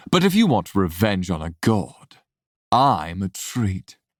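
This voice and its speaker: The speaker puts on a character voice. The pace is fairly slow. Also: man, fairly low pitch for a man. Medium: read story. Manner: calm, casual.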